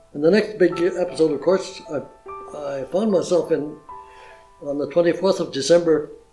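A man at a high pitch and moderate pace, with fairly even intonation, long, frequent pauses and faint music in the background. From Gaspé region, Quebec. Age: 80s+. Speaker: war veteran. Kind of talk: interview answer. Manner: hesitant, halting. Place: home room.

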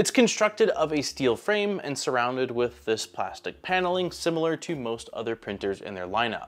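A man talks at a moderate pace. He hardly pauses at all. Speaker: tech reviewer. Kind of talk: product review narration. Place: workshop. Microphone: lapel.

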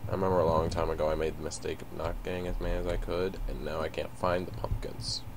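Very fast speech with hardly any pauses over noticeable background noise. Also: man. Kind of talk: casual gaming commentary.

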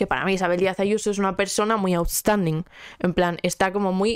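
In a dry sound with no echo and a quiet background, a woman speaks at a moderate pace with an animated tone. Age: 20s. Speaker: podcast host; podcast host or guest. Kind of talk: casual chat; casual podcast conversation. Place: home room. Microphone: handheld.

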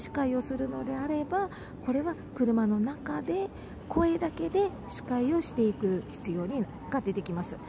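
Amid noticeable background noise, a woman speaks at a high pitch with very wide pitch swings. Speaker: election campaign announcer trainer. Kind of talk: instructional talk to camera. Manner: whispered.

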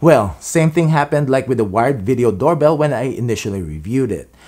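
A man's medium-pitched, slightly mellow voice with lively intonation and a fairly quick pace

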